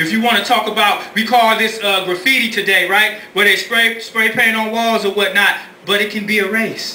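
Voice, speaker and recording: A man speaks in a raised, projected voice. Audible room echo surrounds him. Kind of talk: oratory to a live audience. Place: stage. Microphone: camera far.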